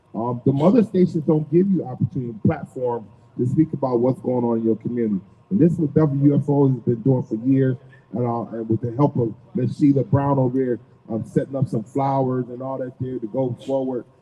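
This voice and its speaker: Somewhat breathy, a man talks at a fairly quick pace with medium pitch and ordinary pitch variation. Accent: American. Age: 60s. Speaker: radio host. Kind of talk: live radio talk. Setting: off-site live radio broadcast.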